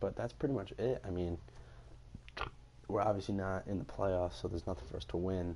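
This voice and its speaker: A soft-spoken man has a very deep, low voice with a dark, mellow tone and ordinary pitch variation. He talks at a fairly quick pace, broken by long, frequent pauses. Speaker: gaming YouTuber. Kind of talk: video game commentary. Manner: halting.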